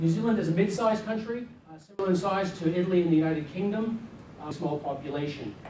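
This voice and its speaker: Recorded with audible room echo and noticeable background noise, a man with an American accent speaks with ordinary pitch variation. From US. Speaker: business consultant presenter. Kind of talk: seminar presentation. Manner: fast.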